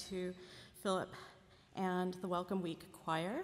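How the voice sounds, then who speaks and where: A woman is speaking. Her pace is moderate. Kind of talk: ceremonial announcement. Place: hall. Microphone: podium.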